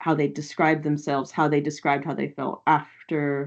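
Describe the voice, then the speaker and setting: Over a quiet background, someone with an American accent speaks at a moderate pace. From United States. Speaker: qualitative researcher. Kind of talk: academic seminar Q&A. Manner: halting, many fillers.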